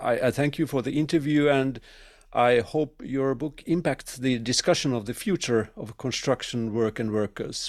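A man speaks at medium pitch in a Finnish accent. His pace is moderate, on a very clean recording with a silent background. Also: ordinary pitch variation. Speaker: podcast host. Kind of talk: interview. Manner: halting.

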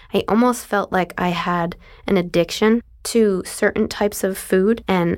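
On a very clean recording with a silent background, a woman with a normal speaking voice talks at medium pitch with fairly even intonation. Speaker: dental hygienist, chronic illness patient. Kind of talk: interview testimony.

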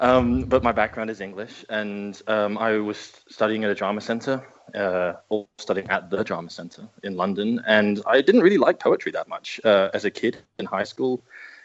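A man with a normal speaking voice talks at a moderate pace in a fairly low pitch with ordinary pitch variation. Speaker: film director. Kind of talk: casual interview chat.

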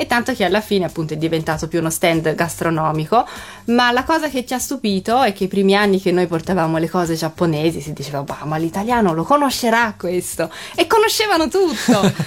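Music plays behind a woman speaking at a fairly quick pace. Her pitch is medium and her intonation lively. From Japan (Tokyo). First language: Japanese (speaking Italian). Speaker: Japanese guest living in Italy. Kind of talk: casual radio chat. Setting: radio studio.

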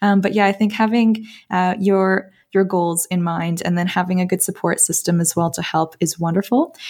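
A woman with a Canadian accent and an ordinary speaking voice, medium in pitch, at a moderate pace with fairly even intonation, in a very clean recording with a silent background. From Toronto, Canada. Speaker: recent graduate dentist. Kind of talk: casual interview chat.

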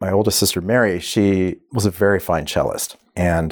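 A man with an American accent speaks at a fairly low pitch. His pitch varies in an ordinary way on a very clean recording with a silent background. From Oklahoma, US. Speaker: orchestra cellist. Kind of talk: casual podcast interview. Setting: studio. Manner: chatty, humorous, quick to laugh.

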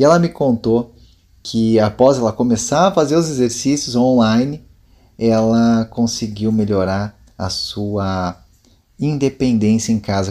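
Dark and mellow in tone, a man speaks at a medium pitch with ordinary pitch variation. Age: 30s. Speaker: fitness instructor. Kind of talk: interview.

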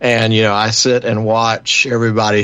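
This man talks fairly slowly in a medium pitch with monotone, flat intonation. His tone is relaxed, and there is noticeable background noise. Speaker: radio host. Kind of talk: radio roundtable discussion. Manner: jokey, relaxed.

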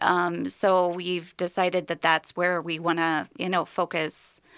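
The recording is very clean, with a silent background and a dry, close sound with no echo. A woman speaks at a fairly slow pace, her pitch fairly low and her intonation monotone and flat. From US Midwest. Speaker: dental hygienist. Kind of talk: radio interview. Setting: radio studio.

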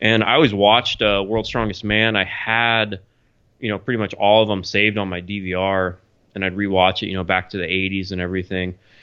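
A man talks at a fairly low pitch and a fairly quick pace. His intonation is monotone and flat. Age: 30s. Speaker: strongman athlete. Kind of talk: casual interview.

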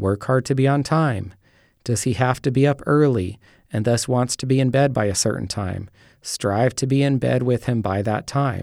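Speaking in a plain, everyday voice, a man keeps a moderate pace and medium pitch with ordinary pitch variation. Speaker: pastor and author. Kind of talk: reading aloud.

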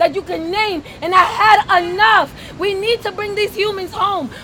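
An extremely high-pitched woman with an American accent, at a moderate pace and with fairly even intonation, against crowd noise in the background. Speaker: activist. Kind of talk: rally speech. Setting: outdoors. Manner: impassioned, defiant outdoor address.

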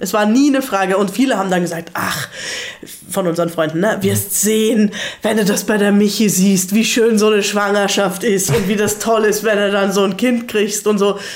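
Over noticeable background noise and audible room echo, a woman of medium pitch speaks at a moderate pace with fairly even intonation and very even loudness. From Germany. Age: 30s. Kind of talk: casual interview chat. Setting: living room in Salzburg.

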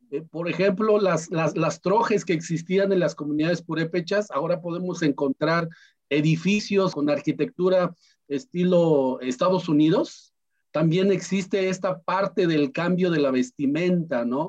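The man's voice is high in pitch with ordinary variation. He speaks at a fairly slow pace. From Mexico, Michoacán, P'urhépecha plateau. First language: P'urhépecha (speaking Spanish). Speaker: language teacher and migrant activist. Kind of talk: interview.

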